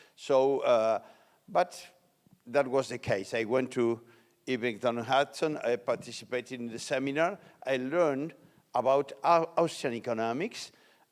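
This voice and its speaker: On a very clean recording with a silent background, a man with an Argentine accent speaks at a moderate pace and medium pitch with ordinary pitch variation. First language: Spanish. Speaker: economics lecturer. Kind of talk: lecture. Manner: halting.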